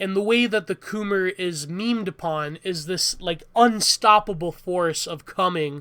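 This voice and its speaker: A raised, projected voice speaks at a very slow pace on a very clean recording with a silent background. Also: man. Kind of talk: rambling monologue on meme culture. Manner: rambling, hesitant.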